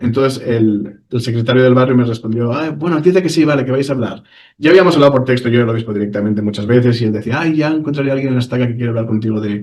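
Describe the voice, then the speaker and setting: Here a man speaks at a very fast pace with hardly any pauses. His pitch is medium, with ordinary variation. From Spain. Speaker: ex-church member telling his story. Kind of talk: interview testimony. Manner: halting, with many repetitions.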